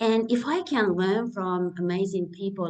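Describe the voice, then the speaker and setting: At a fairly slow pace, a woman with a Japanese accent speaks at medium pitch with ordinary pitch variation. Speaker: naturopath and live chat host. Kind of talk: live interview chat. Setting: live stream.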